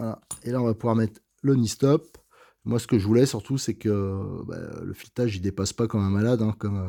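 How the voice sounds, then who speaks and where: A man talks at a fairly quick pace in a dark, mellow tone. The recording is very clean and the background silent. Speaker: RC model car hobbyist video host. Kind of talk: tutorial. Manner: hesitant, many filler sounds; stammers at times.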